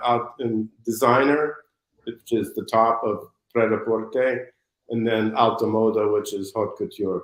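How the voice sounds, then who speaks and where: This man has an American accent and a medium pitch. He uses a normal speaking voice. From United States. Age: 60s. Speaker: fashion designer. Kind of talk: interview.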